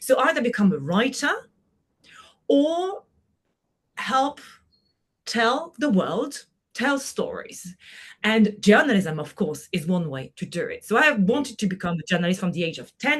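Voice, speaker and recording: A somewhat breathy voice in a French accent at a moderate pace, with very wide pitch swings, big swings in loudness and long, frequent pauses. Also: woman. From France, Brittany. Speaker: journalist and moderator. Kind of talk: podcast interview.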